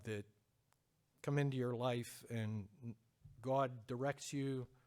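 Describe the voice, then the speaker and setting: Speaking at a very slow pace, a man talks with a Pennsylvania accent. His pitch is medium and his intonation fairly even. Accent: Pennsylvania American. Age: 50s. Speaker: church member giving testimony. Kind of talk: testimony. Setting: church with congregation. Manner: hesitant.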